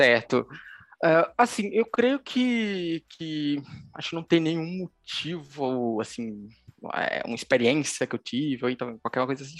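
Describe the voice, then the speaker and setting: Very wide pitch swings mark this fairly slow delivery, heard in a dry, close sound with no echo. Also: man. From Pernambuco, Brazil (Recife area). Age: 20s. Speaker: mobile developer. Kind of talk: interview. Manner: halting, many fillers.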